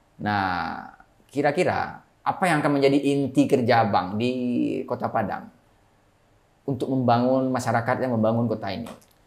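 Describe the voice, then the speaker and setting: A man talks at a moderate pace with ordinary pitch variation and long, frequent pauses. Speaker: podcast host. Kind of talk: casual interview talk. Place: studio. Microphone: lapel.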